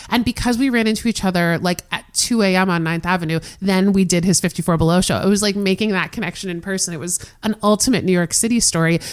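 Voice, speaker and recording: A woman with an American accent at a very fast pace, medium pitch, and ordinary pitch variation. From US South, South Florida. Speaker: theater historian and cabaret programming director. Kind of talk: podcast interview.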